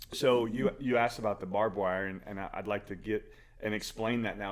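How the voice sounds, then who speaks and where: This man has a normal speaking voice at a fairly low pitch. His intonation is fairly even. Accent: American. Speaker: podcast co-host. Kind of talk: casual podcast conversation.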